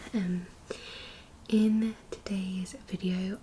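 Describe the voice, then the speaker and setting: Soft-spoken and medium-pitched, a woman talks with fairly even intonation. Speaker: ASMR creator. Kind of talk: ASMR what's-in-my-bag talk to camera.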